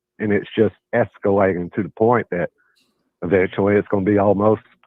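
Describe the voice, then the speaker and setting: With a Southern US accent, a man talks at a fairly quick pace in a fairly low, monotone, flat voice broken by long, frequent pauses. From US South. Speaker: caller. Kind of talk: call-in debate.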